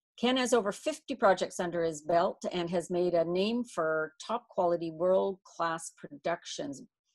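A woman at a fairly slow pace with ordinary pitch variation, over a quiet background. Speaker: event host. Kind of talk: introduction of a speaker. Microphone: video call.

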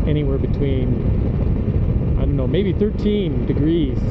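Loud background noise surrounds the speaker. A man talks at a moderate pace. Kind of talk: casual vlog chat. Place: motorbike. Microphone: helmet.

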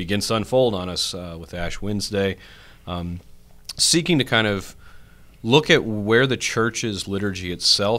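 A man speaks at a fairly slow pace with a fairly low pitch. His tone is bright and sharp. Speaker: priest podcast host. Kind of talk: podcast intro and discussion. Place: studio. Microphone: studio mic.

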